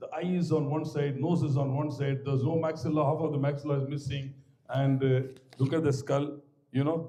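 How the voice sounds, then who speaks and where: A man with a Tamil Indian accent speaks at a fairly quick pace with monotone, flat intonation, amid noticeable background noise and audible room echo. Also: fairly high pitch for a man. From Tamil Nadu village, India. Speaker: maxillofacial surgeon and professor. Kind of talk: guest lecture. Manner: conversational, digressive.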